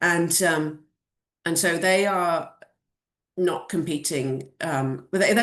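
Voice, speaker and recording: Against a quiet background, a woman speaks with a British accent. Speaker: venture capital investor. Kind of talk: Q&A at an online community event. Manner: many fillers and restarts.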